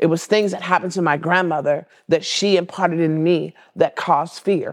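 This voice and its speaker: This is an unremarkable speaking voice with an American accent, moving at a moderate pace. Its intonation stays fairly even. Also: woman. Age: 60s. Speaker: marriage and family therapist. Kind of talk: interview.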